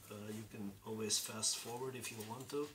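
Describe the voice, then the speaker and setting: Noticeable background noise and audible room echo accompany a man speaking at a moderate pace with fairly even intonation. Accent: Dutch. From Belgium. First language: Dutch. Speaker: terrain crafting YouTuber. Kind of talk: tutorial. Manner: casual, with hesitations.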